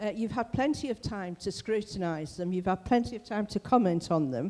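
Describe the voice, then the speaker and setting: A woman speaks at a fairly quick pace and a medium pitch. Her tone is dark and mellow, her intonation lively. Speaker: local councillor. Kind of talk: council debate speech. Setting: council meeting in a theatre.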